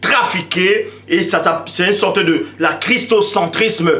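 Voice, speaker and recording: A raised, projected voice at a very slow pace, with audible room echo and noticeable background noise. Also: man. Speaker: religious video preacher. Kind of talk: preaching monologue. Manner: loud.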